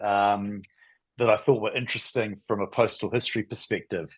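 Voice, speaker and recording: A man with a New Zealand accent speaks at a moderate pace in a medium pitch with fairly even intonation. The background is quiet. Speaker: stamp collecting society president. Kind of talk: presentation. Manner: halting.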